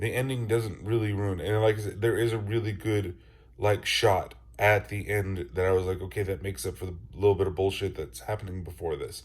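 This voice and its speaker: A somewhat breathy man at a fairly low pitch and a fairly quick pace. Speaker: podcaster, movie reviewer. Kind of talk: casual talk to camera.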